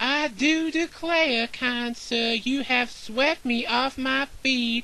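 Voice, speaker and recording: A female-sounding put-on character voice speaks at a very slow pace and high pitch over light background noise. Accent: Southern US. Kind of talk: old-fashioned, courtly. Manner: flirtatious, theatrical.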